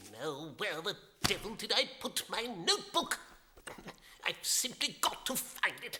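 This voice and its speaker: Putting on a cartoonish character voice, a man speaks high-pitched and dramatic, his pitch swinging very widely between long, frequent pauses. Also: moderate pace. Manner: huffy, dramatic.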